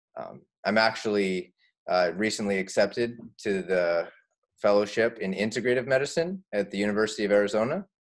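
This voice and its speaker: A man with a Canadian accent talks at a fairly quick pace, his fairly low pitch showing ordinary pitch variation. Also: quiet background. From Canada, Saskatchewan prairies. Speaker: family physician and yoga teacher. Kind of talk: interview. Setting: video call. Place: home room. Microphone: webcam.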